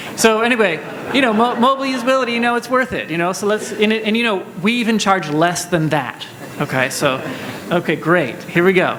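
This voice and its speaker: Loud and fairly quick, a man with a high pitch uses lively intonation, while audible room echo and noticeable background noise fill the recording. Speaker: panel moderator. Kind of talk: conference panel moderation. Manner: fast.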